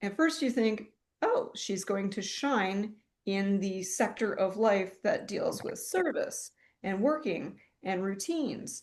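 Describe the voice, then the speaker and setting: Over a quiet background, a somewhat breathy woman speaks at a very slow pace with lively intonation. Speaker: astrologer, podcast co-host. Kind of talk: casual conversational analysis.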